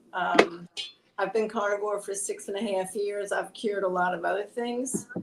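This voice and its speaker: Against noticeable background noise, a woman speaks at a medium pitch and a moderate pace with fairly even intonation. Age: 70s. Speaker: carnivore diet content creator. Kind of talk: casual chat.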